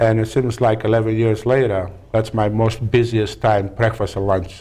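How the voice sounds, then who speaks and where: Monotone, flat delivery from a man with a strong Greek accent, medium pitch, dark, mellow tone and moderate pace. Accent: heavy Greek. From Greece (Peloponnese). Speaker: restaurant owner. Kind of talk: talk show interview. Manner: halting.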